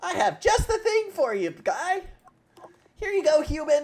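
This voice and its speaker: A squeaky put-on character voice at a moderate pace. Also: man, extremely high pitch for a man. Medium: game stream. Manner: theatrical, pompous.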